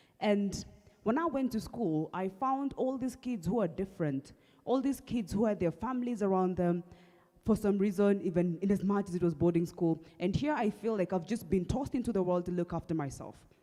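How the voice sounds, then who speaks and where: A woman talks at a fairly quick pace in a dark, mellow tone. Her pitch is medium and her intonation lively. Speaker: speaker sharing mental health story. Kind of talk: testimony.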